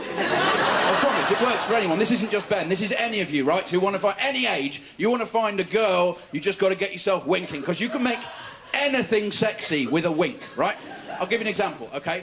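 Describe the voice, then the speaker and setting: With lively intonation at a fairly quick pace, the speech comes through noticeable background noise. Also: man, high pitch for a man. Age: 30s. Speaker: stand-up comedian. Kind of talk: stand-up. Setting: stage with audience.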